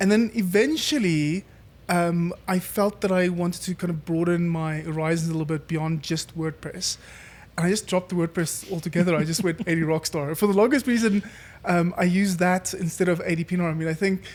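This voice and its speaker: With a South African accent, a man talks at a fairly quick pace in a high pitch with fairly even intonation. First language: Afrikaans. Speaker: entrepreneur. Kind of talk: casual interview chat. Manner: hesitant, many fillers.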